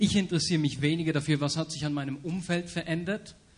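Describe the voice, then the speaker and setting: A man talks at a fairly quick pace in a fairly high pitch, somewhat breathy and with fairly even intonation. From Bern, Switzerland. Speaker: church leadership team member. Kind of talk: panel discussion. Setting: stage with audience.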